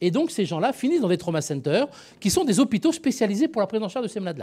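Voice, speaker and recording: A man's dark, mellow tone with very wide pitch swings, on a very clean recording with a silent background. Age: 60s. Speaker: emergency physician. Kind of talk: panel talk. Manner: hesitant, many repetitions.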